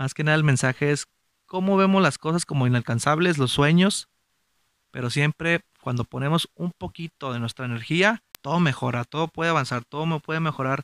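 A man with a northern Mexican accent speaks at a fairly high pitch. His pace is fairly quick. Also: ordinary pitch variation, dry, close sound with no echo. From Mexico, Gómez Palacio, Durango (Comarca Lagunera). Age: 30s. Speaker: podcast host. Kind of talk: motivational monologue.

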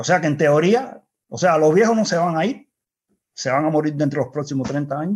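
A man speaks with a Cuban accent and a fairly high pitch. His pace is fairly quick and his intonation lively. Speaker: engineer and activist. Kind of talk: interview. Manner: halting.

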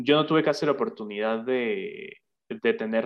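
At a very slow pace, a man speaks at medium pitch. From Venezuela, Barinas state. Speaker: entrepreneur. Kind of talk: casual interview.

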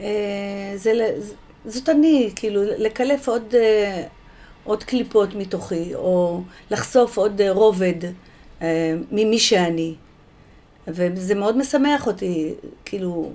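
A woman with a medium-pitched, dark, mellow voice talks very slowly with ordinary pitch variation and long, frequent pauses. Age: 60s. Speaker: poet. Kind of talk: interview.

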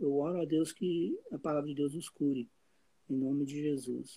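With a dark, mellow tone and fairly even intonation, a man talks in a fairly high pitch. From Brazil, interior of Goiás. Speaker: Brazilian emigrant, church member. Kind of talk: personal testimony.

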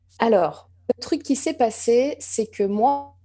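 A woman speaks at a very slow pace with ordinary pitch variation. Her tone is dark and mellow. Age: 40s. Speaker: entrepreneur and business coach. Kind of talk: interview conversation.

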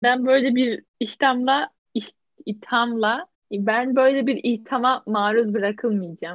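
A woman with a high voice speaks at a very slow pace, her loudness very even and her pitch variation ordinary. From Turkey, İzmir. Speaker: podcast co-host. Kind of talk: casual chat.

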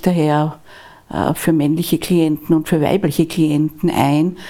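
A woman's very deep, low voice carries a dark, mellow tone and monotone, flat intonation. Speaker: divorce lawyer. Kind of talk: interview conversation. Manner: soft-spoken.

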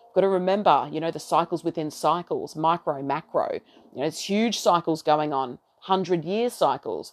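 With an Australian accent, the speaker keeps a moderate pace and ordinary pitch variation in a dry, close sound with no echo. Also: woman, fairly low pitch for a woman. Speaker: astrology podcaster. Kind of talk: solo monologue on astrology. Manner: rambling, casual.

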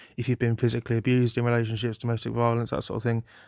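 Over a quiet background, a man with a British accent speaks at a medium pitch in a dry, close sound with no echo. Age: 20s. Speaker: podcaster. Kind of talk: solo unscripted ramble. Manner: relaxed, rambling.

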